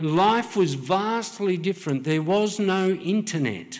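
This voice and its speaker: With an Australian accent, a man speaks at a high pitch. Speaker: preacher. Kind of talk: sermon. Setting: church.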